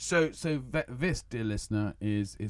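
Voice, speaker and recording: A man with a southern English accent and lively intonation on a very clean recording with a silent background. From Kent, southern England. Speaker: podcast host for English learners. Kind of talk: casual chat. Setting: studio.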